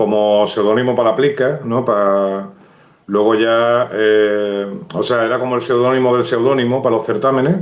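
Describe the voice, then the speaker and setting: In an Andalusian accent, a man with a medium pitch speaks at a moderate pace, with very even loudness, fairly even intonation and audible room echo. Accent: Cádiz. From Andalusia, San Fernando (Cádiz). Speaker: writer. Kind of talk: live interview. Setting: Instagram live video stream.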